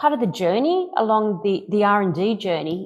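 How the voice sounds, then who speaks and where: A woman speaks at a moderate pace with an Australian accent. The recording is very clean, with a silent background. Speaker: AI company executive. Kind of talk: interview.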